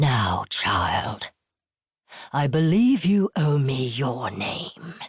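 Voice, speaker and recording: A put-on character voice, growling at a low-to-middle pitch and a very slow pace. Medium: read story. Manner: menacing.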